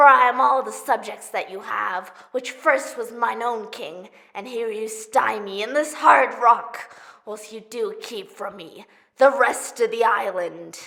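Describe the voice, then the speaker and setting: A put-on character voice that sounds female speaks fairly slowly at a fairly high pitch for a woman. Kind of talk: theatrical monologue, audition style.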